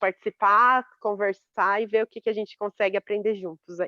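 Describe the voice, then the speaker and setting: Here a woman speaks at a moderate pace with a fairly high pitch and fairly even intonation. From São Paulo state interior, Brazil (Boituva). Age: 30s. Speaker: architect, course student. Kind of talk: class introduction in online lesson. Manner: halting, many repeated words.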